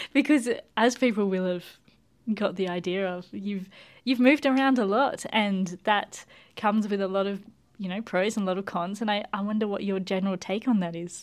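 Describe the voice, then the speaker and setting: A woman with an unremarkable speaking voice talks at a fairly quick pace and medium pitch with ordinary pitch variation, in a very clean recording over a silent background. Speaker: radio show host and plant scientist. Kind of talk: interview.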